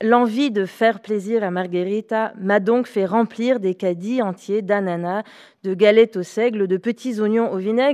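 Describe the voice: What you hear is plain reading aloud.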